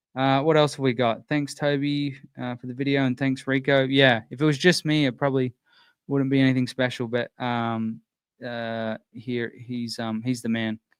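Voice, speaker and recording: A man at medium pitch and moderate pace, his intonation monotone and flat, in dry, close sound with no echo against a quiet background. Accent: Australian. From Australia, Sydney. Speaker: sprint car channel host. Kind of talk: live stream chat answering viewer questions. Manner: halting, many fillers.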